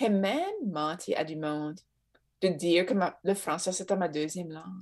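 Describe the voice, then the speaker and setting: Pausing long and often, a woman with an Acadian accent speaks at a medium pitch, her loudness swinging widely. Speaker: Acadian cultural organization worker. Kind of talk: casual chat.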